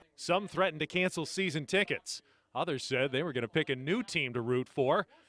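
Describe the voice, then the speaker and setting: A man with a plain, everyday voice, fairly high in pitch, at a moderate pace and with lively intonation. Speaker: sports anchor and reporter. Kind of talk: TV news package narration.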